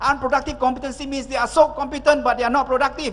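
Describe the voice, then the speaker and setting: Over noticeable background noise, a man with an extremely high pitch talks at a very fast pace in an energetic tone. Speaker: motivational speaker. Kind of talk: keynote speech.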